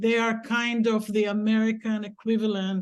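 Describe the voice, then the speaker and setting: A woman speaks with an Israeli accent. The background is quiet. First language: Hebrew. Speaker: activist organizer. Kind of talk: comment in panel discussion.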